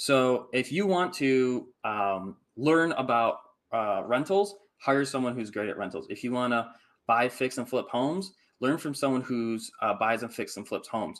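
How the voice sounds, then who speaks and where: A man talks with a Midwestern American accent. His pace is moderate and his intonation lively. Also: medium pitch for a man, very clean recording, silent background. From Michigan, US Midwest. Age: 30s. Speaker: house flipper and real estate investor. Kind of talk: casual interview chat.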